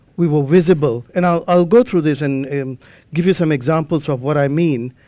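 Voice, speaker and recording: A man's fairly high-pitched, dark, mellow voice with a non-native accent and ordinary pitch variation. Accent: non-native English, trouble pronouncing R. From Malaysia. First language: not English. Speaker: amateur radio lecturer. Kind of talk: conference lecture.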